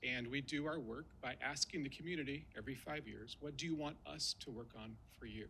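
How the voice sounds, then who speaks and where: The man talks at a fairly quick pace in a fairly high pitch, with ordinary pitch variation, a bright, sharp tone and vocal fry. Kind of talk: formal speech. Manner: fast.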